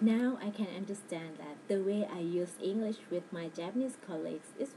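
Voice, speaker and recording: Noticeable background noise sits behind a woman who talks at medium pitch with ordinary pitch variation. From Thailand. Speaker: language student. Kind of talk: personal narrative. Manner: halting.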